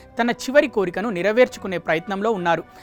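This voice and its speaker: Background music plays as a woman talks, her pitch varying in an ordinary way. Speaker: news presenter. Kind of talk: news report narration.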